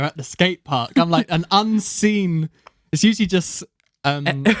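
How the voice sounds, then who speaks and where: A high-pitched man with a southern English accent, fairly slow, in a dry, close sound with no echo. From southern England, Buckinghamshire. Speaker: podcast host. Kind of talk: casual chat.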